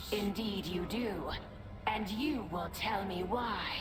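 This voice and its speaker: Over loud background noise, a woman uses a put-on character voice at a medium pitch and a fairly slow pace. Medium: game stream. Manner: terse, secretive.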